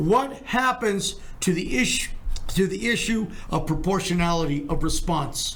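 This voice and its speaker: A man with a high pitch and lively intonation talks at a moderate pace with very even loudness, with audible room echo and noticeable background noise. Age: 70s. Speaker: criminal defense lawyer. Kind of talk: podcast discussion.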